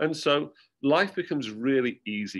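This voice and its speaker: In a quiet background, a man speaks with a British accent. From UK. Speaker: university academic director. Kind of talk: presentation. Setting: video call. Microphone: webcam.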